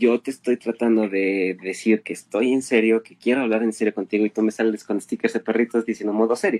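Speaking in a central Mexican accent, a man at medium pitch keeps a moderate pace and fairly even intonation in a dry, close sound with no echo. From Mexico City. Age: 20s. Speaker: chemist and science meme creator. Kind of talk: casual interview chat.

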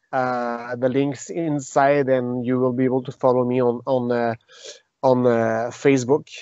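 Slow and flat, a man talks with a Quebec accent in a monotone. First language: French. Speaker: retired mixed martial arts fighter and jiu-jitsu teacher. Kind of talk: interview. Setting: remote call. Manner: halting.

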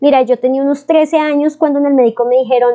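A woman talks at a fairly quick pace. Her voice is high-pitched, with fairly even intonation. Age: 20s. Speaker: podcast host. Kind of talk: casual advice talk. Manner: warm, affectionate.

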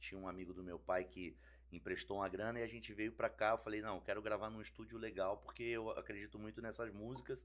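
Speaking very fast with vocal fry, a man uses ordinary pitch variation. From Brasília, Brazil (born in Rio). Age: 40s. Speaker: musician, band singer. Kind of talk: casual podcast chat.

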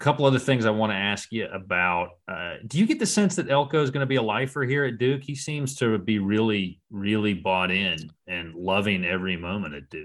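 A man with a normal speaking voice and an American accent talks at a fairly quick pace and a fairly low pitch, with lively intonation against a quiet background. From South Carolina. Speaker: sports podcast host. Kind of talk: casual interview.

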